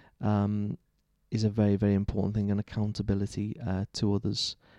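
A dry, close sound with no echo, a dark, mellow tone in a Liverpool accent, monotone, flat intonation and a quiet background. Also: man. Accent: Liverpool (Scouse). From Liverpool, England. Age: 30s. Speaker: Church of England vicar. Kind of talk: interview conversation. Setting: church.

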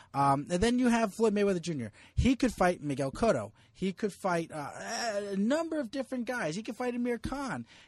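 Talking at a fairly quick pace, a man with a high voice swings very widely in pitch, the sound dry and close with no echo against a quiet background. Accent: New Jersey. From US Northeast, New Jersey. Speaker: sports journalist. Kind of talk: casual chat.

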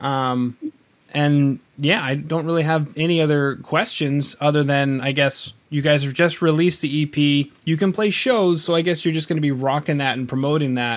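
A man with a fairly high pitch and an ordinary speaking voice, moderate pace and fairly even intonation. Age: 30s. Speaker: podcast host. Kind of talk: interview.

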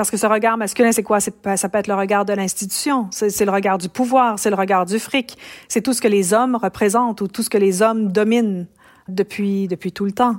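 A woman with an ordinary speaking voice talks with a medium pitch and fairly even intonation. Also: very clean recording, silent background. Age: 50s. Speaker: professor of feminist studies. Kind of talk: interview.

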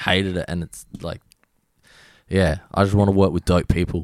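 At a moderate pace, someone speaks with an Australian accent, the sound dry and close with no echo. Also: man. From Australia, Adelaide. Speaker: DJ and music producer. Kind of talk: casual chat. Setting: video call.

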